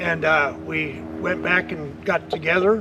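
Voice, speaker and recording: Fairly even intonation from a male speaker, with noticeable noise in the background. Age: 70s. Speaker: customer. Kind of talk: testimonial interview.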